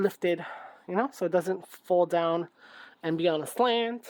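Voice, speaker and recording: This woman's fairly low voice moves along at a moderate pace. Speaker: craft YouTuber. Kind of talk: crafting tutorial. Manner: loud; casual, thinking aloud.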